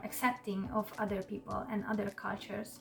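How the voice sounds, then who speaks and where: Fairly high, fairly even speech from a woman with music in the background. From Hungary. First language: Hungarian. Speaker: YouTuber. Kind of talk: casual explainer monologue.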